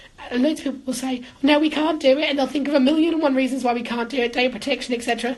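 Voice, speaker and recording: A woman with an English accent speaks at a high pitch with ordinary pitch variation, with noticeable background noise around her. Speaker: housing manager. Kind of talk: live-streamed talk. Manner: usually loud; animated.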